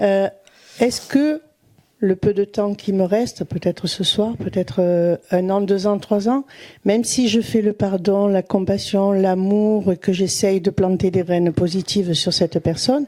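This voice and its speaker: Her voice is medium in pitch with a dark, mellow tone, as this woman speaks at a fairly slow pace with very even loudness and ordinary pitch variation in a very clean recording with a silent background. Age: 60s. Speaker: audience member asking a question. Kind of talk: question at a teaching.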